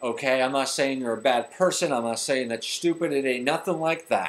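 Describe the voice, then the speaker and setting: At a fairly quick pace, a man talks in a fairly high pitch. His pitch variation is ordinary. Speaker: personal trainer and motivational vlogger. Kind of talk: motivational talk to camera. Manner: fast; energetic.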